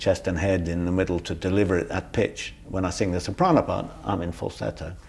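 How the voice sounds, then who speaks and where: A British accent at a moderate pace. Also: man. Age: 60s. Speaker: singer, pianist and music educator. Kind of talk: interview. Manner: animated.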